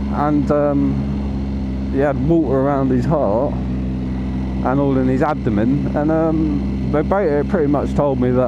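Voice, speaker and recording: A man speaks at a very slow pace. Noticeable background noise and audible room echo surround his voice. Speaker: motorcycle vlogger. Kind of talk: casual monologue while riding. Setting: outdoors on a motorcycle. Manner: animated, stumbling over words.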